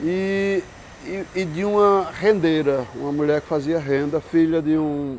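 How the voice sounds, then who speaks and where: Very slow delivery with ordinary pitch variation. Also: man. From Brazil, Pernambuco (Caruaru). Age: 70s. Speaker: sculptor. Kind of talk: interview testimony.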